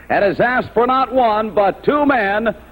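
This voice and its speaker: A man with a high pitch speaks at a moderate pace in an excited tone, with ordinary pitch variation. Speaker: wrestling interviewer. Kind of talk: TV wrestling announcement.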